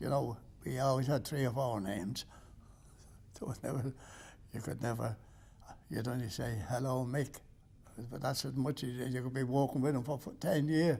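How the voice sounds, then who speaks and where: With an Irish accent, a man speaks in a dark, mellow, somewhat breathy medium-pitched voice, his intonation fairly even and his pauses long and frequent. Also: moderate pace. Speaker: interviewee. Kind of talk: interview.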